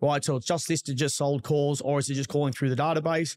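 With an Australian accent, a man talks at a very fast pace in a fairly high voice with fairly even intonation, on a very clean, silent-background recording with a dry, close sound and no echo. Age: 40s. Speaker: real estate agent. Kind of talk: casual chat.

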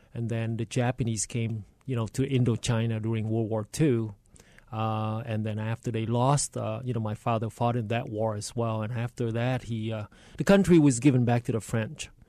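Dry, close sound with no echo, and a man's medium-pitched voice in a Vietnamese accent, dark and mellow in tone, with fairly even intonation. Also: moderate pace. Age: 60s. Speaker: state politician. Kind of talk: radio interview. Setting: studio.

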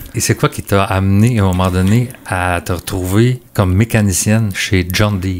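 A man with an ordinary speaking voice, fairly low pitch and fairly even intonation, at a moderate pace with hardly any pauses. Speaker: agriculture podcast host. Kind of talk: interview.

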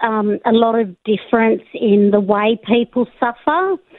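A woman with an Australian accent, fairly high in pitch, at a very slow pace. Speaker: caller, law academic. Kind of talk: radio call-in. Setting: phone call.

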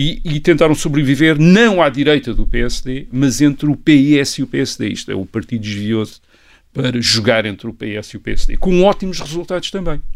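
With lively intonation and a fairly high pitch, a man talks at a moderate pace in a very clean recording with a silent background. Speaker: historian. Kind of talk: podcast conversation, explanatory. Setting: studio, sitting across from co-host. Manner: hesitant, many fillers.

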